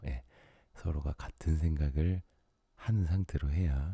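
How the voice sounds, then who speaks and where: A man talks at a moderate pace in a very deep, low voice that is somewhat breathy. His tone is calm and his intonation fairly even. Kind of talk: late-night sleep radio talk. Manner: soft-spoken, calm.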